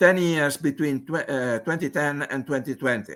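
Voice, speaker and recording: A man with an Italian accent speaks at a moderate pace in a fairly high pitch with ordinary pitch variation. The recording is very clean, with a silent background. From Italy. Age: 70s. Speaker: mathematical physicist. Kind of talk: conference presentation. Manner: halting, with many fillers.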